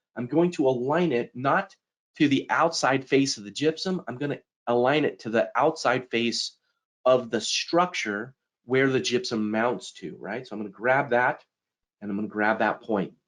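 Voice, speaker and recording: A man with a medium pitch speaks with lively intonation. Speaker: software technical specialist presenter. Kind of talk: live software demo tutorial. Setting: live webinar presentation. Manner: fast.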